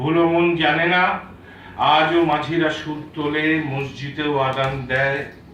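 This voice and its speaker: Over noticeable background noise, a man speaks in a fairly high, monotone voice with flat intonation. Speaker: poet. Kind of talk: poetry reading. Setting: live book launch event.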